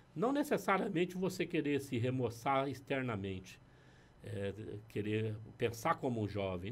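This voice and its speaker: A man speaks at a moderate pace with a medium pitch. His voice is somewhat breathy, with lively intonation. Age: 60s. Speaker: pastor. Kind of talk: casual chat. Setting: studio.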